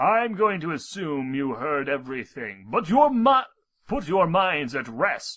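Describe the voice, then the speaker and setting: In a put-on character voice, a man talks at a fairly slow pace with a fairly high pitch that swings very widely. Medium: read story. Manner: solemn, explanatory.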